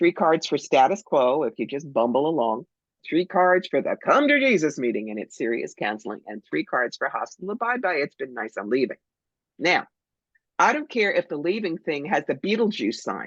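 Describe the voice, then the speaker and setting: Her very deep, low voice carries vocal fry and very wide pitch swings in an animated tone at a moderate pace. The woman's sound is dry and close with no echo, against a quiet background. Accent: American. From New Jersey, Cherry Hill. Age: 60s. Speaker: psychic medium. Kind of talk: interview.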